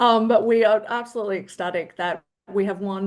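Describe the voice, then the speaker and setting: A woman with an Australian accent, medium in pitch, at a moderate pace. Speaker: CEO of an aged care support organisation. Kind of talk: interview conversation. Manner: animated, with frequent repetitions and fillers.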